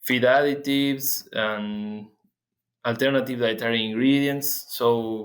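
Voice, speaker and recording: At a fairly slow pace, a man speaks with a Spanish accent. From Argentina. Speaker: animal nutrition researcher. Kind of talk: interview. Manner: halting, many fillers and repeats.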